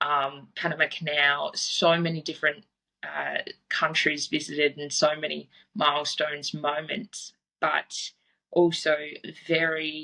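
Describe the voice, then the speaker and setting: A woman with an Australian accent speaks at a fairly slow pace. Her very deep, low voice has a bright, sharp tone and monotone, flat intonation. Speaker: fitness coach. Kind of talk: podcast interview. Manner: casual.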